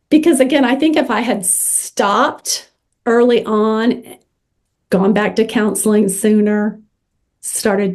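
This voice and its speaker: A woman's plain, everyday voice, fairly high in pitch, at a fairly slow pace. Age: 60s. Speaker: social worker and author. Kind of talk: interview.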